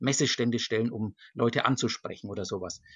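An ordinary speaking voice from a man, medium in pitch, at a fairly quick pace. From Germany, Nuremberg (Franconia). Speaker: church diocesan official for global church work. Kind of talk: interview. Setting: video call from home. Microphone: computer connection.

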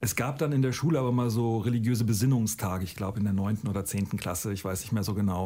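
A man talks at a very fast pace. His tone is dark and mellow and somewhat breathy. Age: 50s. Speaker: teacher. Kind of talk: recorded testimony.

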